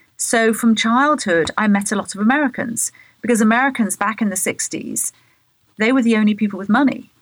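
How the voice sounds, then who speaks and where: A woman with a southern English accent talks at a fairly quick pace, her fairly high, somewhat breathy voice held at very even loudness. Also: ordinary pitch variation. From England, Bath. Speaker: radio host and architecture journalist. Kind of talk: interview.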